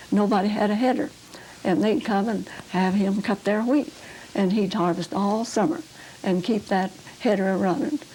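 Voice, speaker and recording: The speech keeps a moderate pace and ordinary pitch variation, with background noise clearly noticeable. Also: woman. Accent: rural Oklahoma. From Oklahoma. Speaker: pioneer settler recounting childhood. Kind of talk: oral history interview. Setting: videotaped interview at home.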